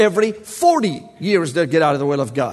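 A man's fairly quick, animated delivery with lively intonation against noticeable background noise. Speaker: preacher. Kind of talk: sermon. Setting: church.

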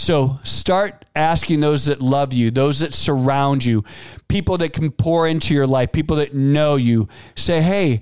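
This man has a plain, everyday voice, fairly high in pitch, with ordinary pitch variation and a fairly slow pace. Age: 50s. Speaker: podcast host and entrepreneur. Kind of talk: solo motivational talk. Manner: conversational, with fillers and restarts.

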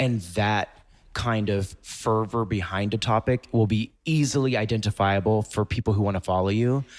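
A man with an American accent has a plain, everyday voice at a fairly low pitch, with fairly even intonation, very even loudness and a moderate pace. The recording is very clean with a silent background and a dry, close sound with no echo. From US South, Mississippi. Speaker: fashion blogger and influencer. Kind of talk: interview.

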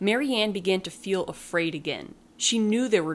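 A reading voice that sounds natural

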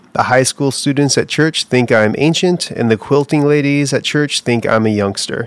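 A man at a moderate pace, with ordinary pitch variation, an ordinary speaking voice. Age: 30s. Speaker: pastor. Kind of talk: reading aloud. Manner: reflective.

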